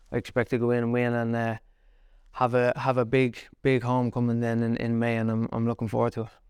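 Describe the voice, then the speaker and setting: A man in an Irish accent at medium pitch, very fast and in a monotone, flat intonation. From Ireland, County Kildare (Naas). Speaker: professional boxer. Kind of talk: casual interview.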